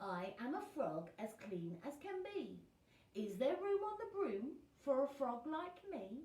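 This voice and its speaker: Putting on a character voice, a woman sounds croaky at a high pitch with very wide pitch swings. She goes at a fairly slow pace, with slight echo. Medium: read story.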